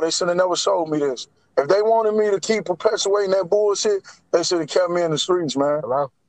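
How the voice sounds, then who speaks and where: A man talks at a very fast pace in a high pitch. The sound is dry and close, with no echo. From Chicago area, Harvey, Illinois. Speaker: formerly incarcerated man. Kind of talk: interview.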